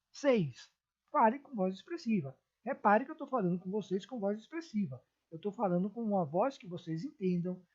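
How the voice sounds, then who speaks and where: At a moderate pace, the somewhat breathy voice makes very wide pitch swings and big swings in loudness. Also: woman, medium pitch for a woman. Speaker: teacher. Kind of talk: lecture. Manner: expressive, moderate pace.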